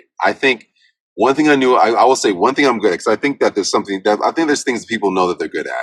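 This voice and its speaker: A man talks with lively intonation in an American accent. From Southern California. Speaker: voice actor. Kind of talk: interview answer. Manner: casual, profane.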